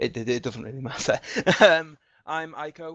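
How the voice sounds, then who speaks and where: A man's voice with an English accent at a moderate pace. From England. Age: 20s. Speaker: community moderator. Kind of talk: self-introduction in online town hall.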